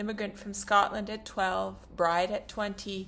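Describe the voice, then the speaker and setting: The speaker here is a woman. Behind her voice, music is playing. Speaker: profile writer and narrator. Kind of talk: reading a written personal profile.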